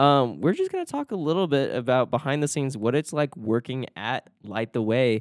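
A man in a normal speaking voice, medium in pitch with ordinary pitch variation, talks at a moderate pace with hardly any pauses. The sound is dry and close with no echo, on a very clean recording with a silent background. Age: 20s. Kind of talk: casual chat.

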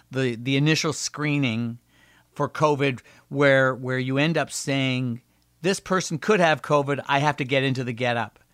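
In a plain, everyday voice, a man with a Canadian accent speaks at a fairly slow pace, his pitch fairly high with ordinary variation, on a very clean recording with a silent background. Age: 60s. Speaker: emergency doctor and radio host. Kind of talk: interview conversation.

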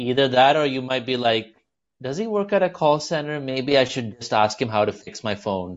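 The pace is moderate. It's a man with an American accent. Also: medium pitch for a man, lively intonation. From India, childhood in US. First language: Malayalam. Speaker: stand-up comedian. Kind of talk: casual interview chat. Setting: remote call from Mumbai.

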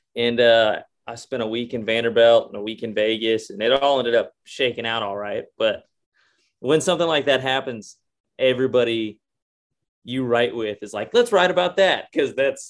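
A man speaks at medium pitch. He has a Texan accent. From Texas. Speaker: country singer. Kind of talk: casual chat.

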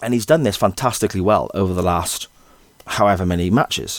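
In an English accent, a man talks at a fairly quick pace and fairly low pitch with ordinary pitch variation and a dry, close sound with no echo. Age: 40s. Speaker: podcast host. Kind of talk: solo football commentary podcast.

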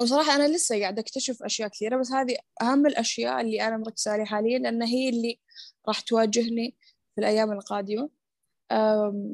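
A woman talking fairly quickly has a normal speaking voice and ordinary pitch variation. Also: fairly high pitch for a woman, dry, close sound with no echo. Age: adult, mother of small family. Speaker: community founder and productivity coach. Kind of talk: interview.

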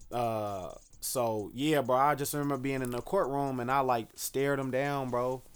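Here a man with an American accent talks in an unremarkable speaking voice at medium pitch. His intonation is fairly even and his pace moderate. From Dallas, Texas. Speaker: local political candidate. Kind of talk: casual interview.

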